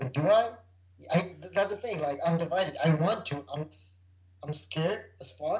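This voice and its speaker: A high-pitched man at a moderate pace, ordinary pitch variation, long, frequent pauses. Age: 30s. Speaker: freestyle motocross rider. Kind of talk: casual chat.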